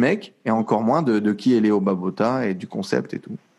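The man's pitch is medium, with ordinary variation and an animated tone. The recording is very clean, with a silent background. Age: 20s. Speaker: entrepreneur. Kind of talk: casual chat.

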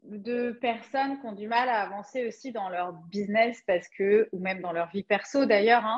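A woman speaks at a moderate pace in a fairly high pitch, her loudness swinging widely while her pitch varies in an ordinary way. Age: 40s. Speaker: Human Design coach. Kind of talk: casual interview chat.

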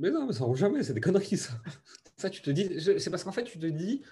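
A man's voice, high in pitch. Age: 30s. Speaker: entrepreneur. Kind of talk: interview.

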